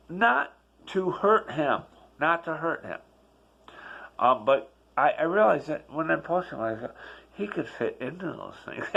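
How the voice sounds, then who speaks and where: Pausing long and often, a man with a fairly high, bright, sharp voice speaks at a moderate pace with lively intonation. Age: 60s. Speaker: vlogger sharing personal life reflections. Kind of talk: personal vlog monologue. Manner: conversational, with repetitions and fillers.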